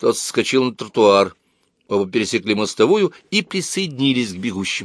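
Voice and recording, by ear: The text is read aloud in a natural voice, and the background stays quiet.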